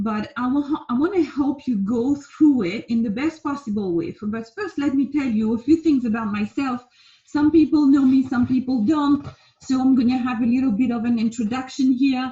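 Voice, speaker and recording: A woman in a French accent with high pitch, ordinary pitch variation and a moderate pace. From France. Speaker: life coach. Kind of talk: casual talk to camera. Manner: hesitant, many fillers.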